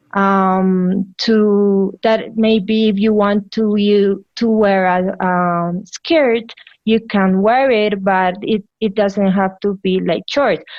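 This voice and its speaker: A woman with a Colombian accent at medium pitch, very slow pace, very even loudness, fairly even intonation and hardly any pauses. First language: Spanish. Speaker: physician. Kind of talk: interview answer.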